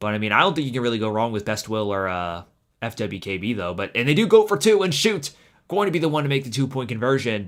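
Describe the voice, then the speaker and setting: Very fast speech with very wide pitch swings fills a very clean recording with a silent background. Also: man, medium pitch for a man. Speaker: game commentator. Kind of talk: live commentary. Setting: live stream. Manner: self-admitted stuttering.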